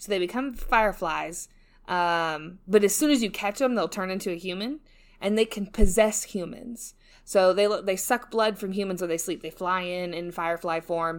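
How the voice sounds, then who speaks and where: Over a very clean recording with a silent background, a woman speaks at a moderate pace in a medium pitch with an animated tone. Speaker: podcast host. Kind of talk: casual solo podcast monologue. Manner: animated, chatty, laughs often.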